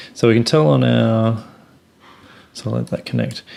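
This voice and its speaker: This man's pitch sits fairly low. It swings very widely up and down. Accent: Australian. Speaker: software company presenter. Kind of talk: tutorial.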